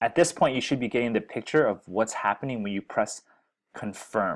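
Against a quiet background, a man speaks with ordinary pitch variation. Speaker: software educator. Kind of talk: tutorial. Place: home room.

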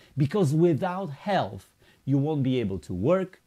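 A man with a Polish accent has a dark, mellow tone. He keeps a moderate pace against a quiet background. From Poland. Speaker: network marketing presenter; presenter. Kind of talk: sales pitch. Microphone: webcam.

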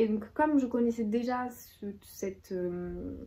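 With ordinary pitch variation, a woman speaks at a medium pitch in a dark, mellow tone.

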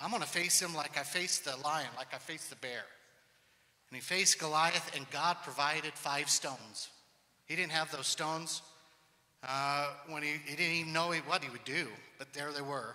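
This man talks at a moderate pace in a bright, sharp tone, keeping his intonation fairly even and leaving long, frequent pauses. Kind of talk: personal testimony to congregation. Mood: earnest, occasionally humorous. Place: church. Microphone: handheld.

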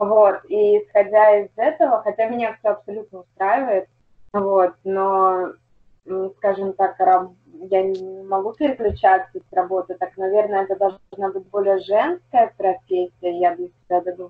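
At a fairly slow pace, a woman with a medium pitch talks with fairly even intonation and big swings in loudness. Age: 20s. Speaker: construction company manager. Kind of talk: coaching session participant. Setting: video call. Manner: halting.

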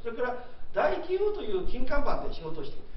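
A man speaks at an extremely high pitch with very wide swings in it, over light background noise and audible room echo. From Japan. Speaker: retired trading company executive, SME consultant. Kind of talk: lecture. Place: meeting room.

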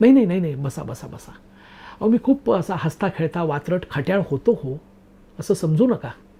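A man talks with lively intonation and a high pitch. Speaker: storyteller / YouTube narrator. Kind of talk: narrated personal story. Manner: conversational, talkative.

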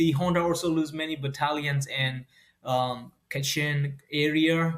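Very slow speech against a quiet background. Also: man. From Myanmar. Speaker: journalist in exile. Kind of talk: interview. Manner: halting. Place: home room.

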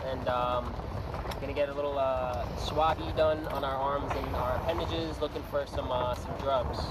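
A fairly slow pace over background music, with a dry sound and no echo. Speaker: sailor vlogger. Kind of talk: casual vlog chat. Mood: joking, wry. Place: boat. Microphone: camera far.

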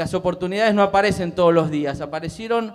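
A man speaks with a high pitch and ordinary pitch variation. The background is quiet. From Buenos Aires province, Argentina. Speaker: public ombudsman; public panelist. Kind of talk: speech at panel. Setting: theatre stage with audience. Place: stage. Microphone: handheld.

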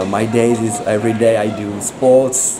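A medium-pitched man with a French accent, monotone and flat in intonation, over noticeable background noise. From France. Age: 20s. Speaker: Muay Thai fighter. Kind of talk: street interview. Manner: halting.

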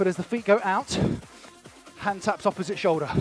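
Over faint background music, a man with a high-pitched voice speaks at a moderate pace in a dry sound with no echo. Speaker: fitness instructor. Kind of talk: workout class instruction. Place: studio.

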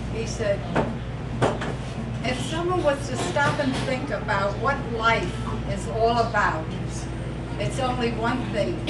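A woman's very slow speech with long, frequent pauses over loud background noise. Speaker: birthday honoree. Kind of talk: speech at a birthday party. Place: hall. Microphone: camera far.

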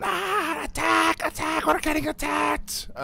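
In a put-on character voice, a man speaks at a very slow pace over clear background noise. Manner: screaming alarm.

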